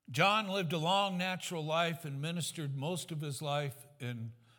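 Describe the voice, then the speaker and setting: With ordinary pitch variation, a man talks in a space that has audible room echo. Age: 70s. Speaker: pastor. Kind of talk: sermon.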